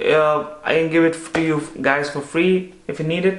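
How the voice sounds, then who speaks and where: The man's voice is high-pitched, with an Indian accent. Audible room echo surrounds it. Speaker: medical student and YouTuber. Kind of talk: casual chat. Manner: animated. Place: home room.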